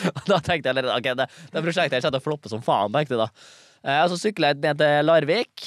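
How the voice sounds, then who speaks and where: Speaking at a fairly quick pace, a man with a fairly high voice and ordinary pitch variation is captured dry and close with no echo, on a very clean recording with a silent background. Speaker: comedian and TikTok creator. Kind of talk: casual chat.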